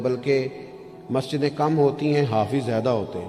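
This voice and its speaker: Music plays in the background while a man talks at a medium pitch with ordinary pitch variation. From Pakistan. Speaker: Islamic scholar and preacher. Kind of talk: religious sermon (bayan) in Urdu. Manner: emotional, passionate preaching.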